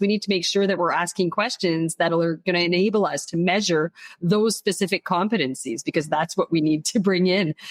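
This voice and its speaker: A woman with a French accent, medium in pitch with ordinary pitch variation, at a moderate pace, the sound dry and close with no echo over a quiet background. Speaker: HR consultant and leadership coach. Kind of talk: podcast interview.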